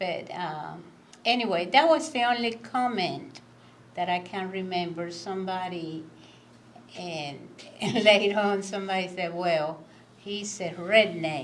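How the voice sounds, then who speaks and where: With a Cuban accent, a woman speaks at a medium pitch and a fairly slow pace, leaving long, frequent pauses. Her intonation is lively, her loudness swings widely, and audible room echo is present. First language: Spanish. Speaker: immigrant guest speaker. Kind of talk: candid conversation.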